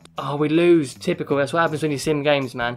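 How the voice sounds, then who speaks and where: Very fast speech from a man with an English accent, fairly high in pitch, music in the background. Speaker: gaming youtuber. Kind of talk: gameplay commentary. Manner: animated.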